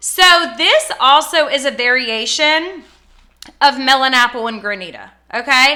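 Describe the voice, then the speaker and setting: A woman with a high pitch speaks at a fairly slow pace in a raised, projected voice, bright and sharp. Her tone is animated, with ordinary pitch variation. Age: 30s. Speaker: small business owner reviewing fragrance products. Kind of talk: casual product review vlog. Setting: home office.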